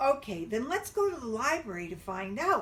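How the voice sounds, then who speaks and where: Using a put-on character voice, a woman speaks in a high pitch with very wide pitch swings at a moderate pace over light background noise. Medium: read story. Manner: eager, curious.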